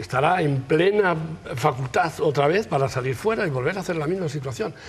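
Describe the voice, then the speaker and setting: A man talks fairly quickly while noticeable background noise plays underneath. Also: fairly high pitch for a man, lively intonation. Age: 70s. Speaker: victim's family member. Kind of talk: TV talk show discussion.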